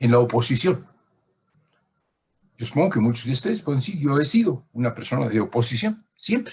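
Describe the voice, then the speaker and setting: A somewhat breathy, medium-pitched man's voice with lively intonation, a fairly quick pace and long, frequent pauses. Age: 80s+. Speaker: lecturer. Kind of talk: lecture. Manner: halting.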